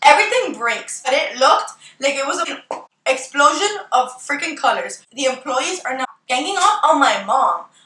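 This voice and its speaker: A woman's raised, projected voice at a moderate pace. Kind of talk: storytime talk to camera. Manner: casual, animated, profane.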